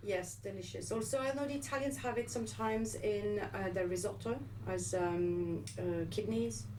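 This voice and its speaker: Noticeable background noise and audible room echo surround a woman speaking with a French accent. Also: moderate pace, very even loudness. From France. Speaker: nutritionist and wellness show co-host. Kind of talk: casual chat. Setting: radio studio. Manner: hesitant, many fillers.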